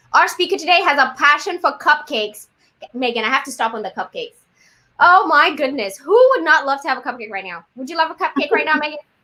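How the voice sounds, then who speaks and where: A woman speaks very fast in a high, raised, projected voice with a bright, sharp tone. Her delivery is animated, with very wide pitch swings and big swings in loudness. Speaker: city training program host. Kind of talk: live webinar hosting.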